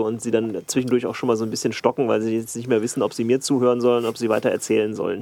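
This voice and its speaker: This is a man speaking at a medium pitch. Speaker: producer. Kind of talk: casual chat. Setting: control room. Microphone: worse mic, sounds tinny.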